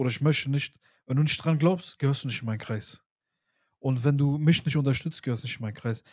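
Very fast and somewhat breathy, a man with a medium pitch keeps his intonation fairly even in a very clean recording with a silent background. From Germany, Pakistani heritage. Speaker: podcast host. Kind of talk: casual chat.

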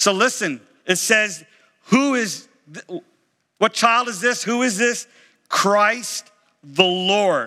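A man's raised, projected voice, high-pitched with a bright, sharp tone, at a very slow pace with long, frequent pauses and ordinary pitch variation. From Florida. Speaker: pastor. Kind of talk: sermon. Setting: church.

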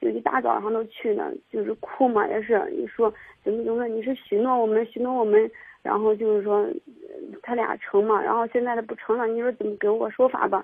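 A woman talks at a fairly quick pace in a plain, everyday voice. Her pitch is fairly high, with ordinary pitch variation. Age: 20s. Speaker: caller with marriage trouble. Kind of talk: call-in advice conversation.

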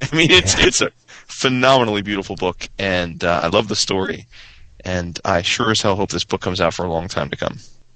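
Here is an unremarkable speaking voice. The intonation is lively. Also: man, fairly low pitch for a man, fairly quick pace. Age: 30s. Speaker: comics podcaster. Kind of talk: casual chat.

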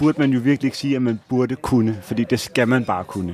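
A man talks at a moderate pace, his pitch varying in an ordinary way. Background noise is noticeable throughout. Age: 30s. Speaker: podcast co-host. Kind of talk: casual chat. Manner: hesitant, many filler sounds.

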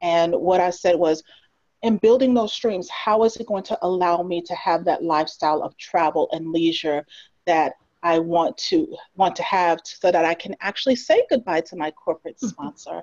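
In a plain, everyday voice, a woman talks at a moderate pace with a fairly low pitch and ordinary pitch variation. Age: 40s. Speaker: event planner and entrepreneur. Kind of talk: casual interview chat.

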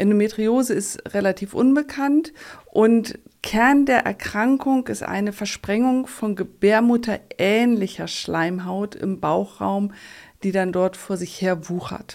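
A woman speaks at a very slow pace with a medium pitch and ordinary pitch variation, in a very clean recording with a silent background. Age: 50s. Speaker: endometriosis patient. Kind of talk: interview.

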